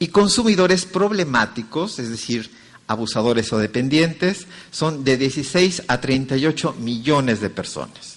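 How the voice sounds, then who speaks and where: Someone with a Mexican accent speaks at a moderate pace with lively intonation. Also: man, fairly high pitch for a man. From Mexico. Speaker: conference speaker. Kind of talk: lecture.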